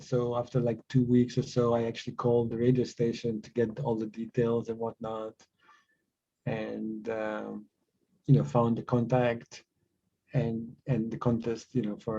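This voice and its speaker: A man with a Croatian accent speaks in a dark, mellow tone. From Croatia / Bosnia (born in Sarajevo). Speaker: tech company co-founder. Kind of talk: podcast interview. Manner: halting, many repetitions and fillers.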